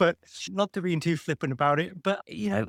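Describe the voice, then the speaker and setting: In a British accent, a man speaks with a fairly high pitch and ordinary pitch variation. His moderate pace comes through a dry, close sound with no echo. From UK. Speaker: medtech founder and engineer. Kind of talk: podcast interview.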